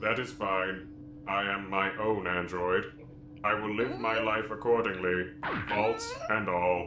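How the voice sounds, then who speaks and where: A man's cartoonish character voice, fairly low in pitch and fairly slow, over clear background noise. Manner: flat, formal, no contractions.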